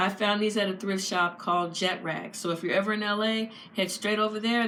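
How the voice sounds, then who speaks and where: Monotone, flat intonation runs through a woman's speech at a moderate pace. Audible room echo is present. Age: 50s. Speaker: fashion vlogger. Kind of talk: casual chat.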